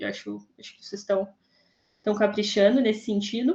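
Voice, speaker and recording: Fairly high in pitch, a woman talks at a fairly quick pace with ordinary pitch variation. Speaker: professor on thesis review panel. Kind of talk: academic feedback to student. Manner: fast.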